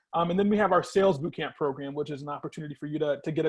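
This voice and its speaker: Over a quiet background, a man speaks at a fairly high pitch with ordinary pitch variation. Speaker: nonprofit program manager. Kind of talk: virtual presentation to students. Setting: video call. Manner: fast.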